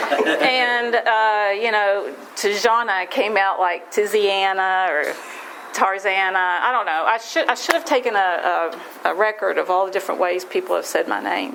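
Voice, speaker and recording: A woman with an American accent speaks at medium pitch and a moderate pace with ordinary pitch variation, and noticeable background noise can be heard. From West Virginia. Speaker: AA speaker. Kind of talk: recovery testimony talk. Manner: halting, many fillers and restarts.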